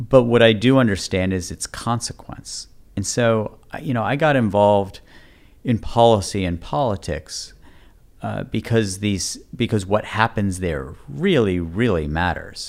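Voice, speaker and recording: On a very clean recording with a silent background, a man with a plain, everyday voice speaks fairly slowly at a fairly low pitch, with lively intonation. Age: 40s. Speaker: politician and author. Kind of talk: interview conversation.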